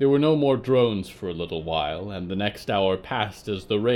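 Lively intonation marks this speech. It is a natural reading voice.

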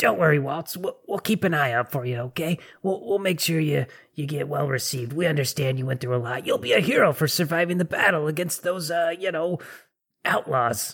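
A man in a put-on character voice, fairly high in pitch, at a moderate pace. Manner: reassuring, friendly.

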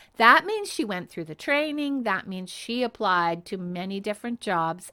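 Animated and bright, a woman with a Canadian accent speaks at a medium pitch with a sharp tone and very wide pitch swings. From Canada. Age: 60s. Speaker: happiness coach. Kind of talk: motivational podcast monologue.

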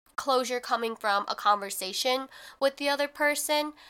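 A woman with a high pitch and a bright, sharp tone projects her raised voice at a moderate pace. She sounds animated with lively intonation, and the recording is very clean with a silent background. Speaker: podcast host. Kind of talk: casual solo podcast monologue. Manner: casual, chatty, animated.

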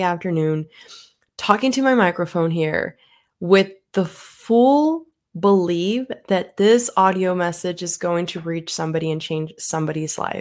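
On a very clean recording with a silent background, a woman with a normal speaking voice talks at a fairly slow pace and a fairly low pitch, with ordinary pitch variation. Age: 20s. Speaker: podcast host, real estate agent. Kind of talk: motivational monologue. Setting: solo microphone recording.

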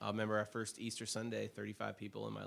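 Speaking at a very fast pace, a man with an American accent is captured in a very clean recording against a silent background. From Oregon, US (Portland). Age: 40s. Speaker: senior pastor. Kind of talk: interview, life story.

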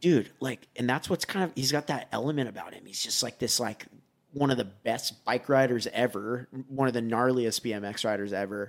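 With a plain, everyday voice, a man speaks at medium pitch and a moderate pace with ordinary pitch variation. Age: 30s. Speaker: BMX rider. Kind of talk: casual chat.

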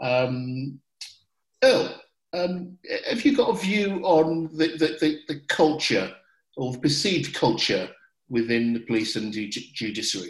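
A fairly high-pitched man with a Birmingham accent, very wide pitch swings, a fairly slow pace and long, frequent pauses. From England, Birmingham. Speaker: podcast host. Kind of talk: panel discussion.

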